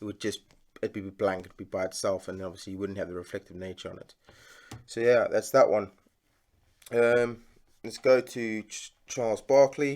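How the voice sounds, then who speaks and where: A man with a South African accent and a medium pitch, moderate pace, ordinary pitch variation, big swings in loudness and long, frequent pauses, on a very clean recording with a silent background. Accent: South African, sometimes heard as Australian. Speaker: sports card collector and YouTuber. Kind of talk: casual unboxing vlog. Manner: hesitant, many fillers.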